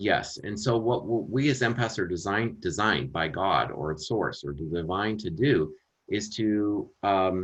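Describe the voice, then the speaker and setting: Here is a man with an American accent and an unremarkable speaking voice, talking at a fairly low pitch and a fairly slow pace with lively intonation. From Minnesota, US Midwest. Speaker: empath coach and spiritual teacher. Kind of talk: podcast interview.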